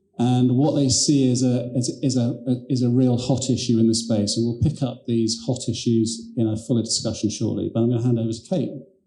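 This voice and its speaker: With audible room echo and noticeable background noise, a man speaks at a fairly quick pace in a monotone, flat intonation with hardly any pauses. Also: medium pitch for a man. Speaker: panel moderator, lawyer. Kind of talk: conference panel moderation.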